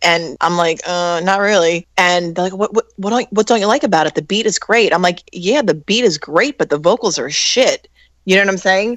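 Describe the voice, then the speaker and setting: A woman with an ordinary speaking voice at a moderate pace, with hardly any pauses and ordinary pitch variation, in a quiet background with a dry, close sound with no echo. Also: medium pitch for a woman. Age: 40s. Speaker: singer. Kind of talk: casual chat.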